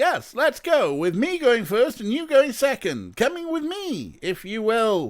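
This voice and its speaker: A man puts on a character voice at an extremely high pitch, swinging very widely up and down. He goes at a fairly slow pace yet hardly pauses. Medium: game stream. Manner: grandiose, pompous.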